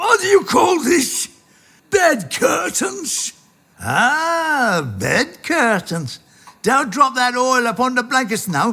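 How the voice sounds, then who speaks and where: In a put-on character voice, a man speaks at an extremely high pitch with very wide pitch swings and a very slow pace. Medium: read story. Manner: crafty, haggling.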